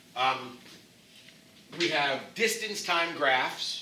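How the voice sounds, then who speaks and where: Noticeable background noise and audible room echo accompany a loud man's voice. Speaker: physics teacher. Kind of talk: classroom lecture.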